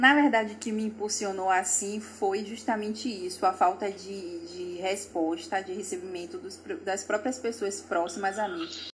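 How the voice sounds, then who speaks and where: With music in the background, a woman talks at a moderate pace and hardly pauses. Her medium-pitched voice has ordinary pitch variation and big swings in loudness. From Bahia, Brazil (Salvador). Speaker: lawyer and social media content creator. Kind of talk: interview.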